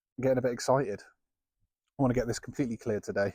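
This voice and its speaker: This man is recorded very cleanly against a silent background, the sound dry and close with no echo. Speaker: gardening vlogger. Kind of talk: casual vlog narration. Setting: outdoors in garden. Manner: less monotone than before.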